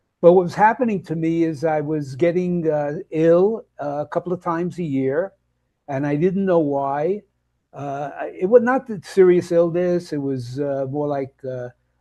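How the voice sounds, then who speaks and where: In a quiet background, a man with a Brooklyn accent speaks at a moderate pace, his high-pitched voice carrying a dark, mellow tone. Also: ordinary pitch variation. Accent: New York (Brooklyn). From Brooklyn, New York. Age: 80s+. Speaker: health and nutrition coach. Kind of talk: interview conversation. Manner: halting, many fillers and restarts.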